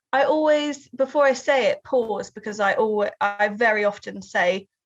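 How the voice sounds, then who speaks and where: A woman's fairly high voice with ordinary pitch variation, at a fairly slow pace against a quiet background. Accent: Southern English. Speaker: writer and researcher. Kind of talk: interview.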